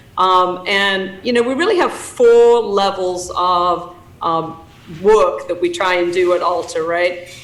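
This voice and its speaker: Very slow speech with fairly even intonation, plus noticeable background noise and audible room echo. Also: woman, medium pitch for a woman. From England. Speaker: association president and CEO. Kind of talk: conference talk. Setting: video call. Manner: hesitant with many fillers.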